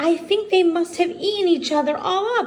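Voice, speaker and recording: Using a put-on character voice, a woman speaks at a moderate pace in an extremely high, squeaky pitch. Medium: read story.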